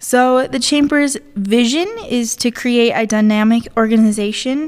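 A woman speaks with an American accent in a plain, everyday voice. Her pitch is fairly high and her intonation fairly even. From Colorado, San Luis Valley. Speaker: chamber of commerce assistant manager. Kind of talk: interview.

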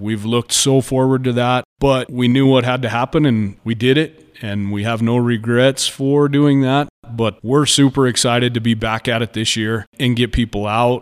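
A man with an American accent talks in an ordinary speaking voice at medium pitch, moderate pace and fairly even intonation, with hardly any pauses. The recording is very clean, with a silent background. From Colorado, San Luis Valley. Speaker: rodeo committee treasurer. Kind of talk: interview.

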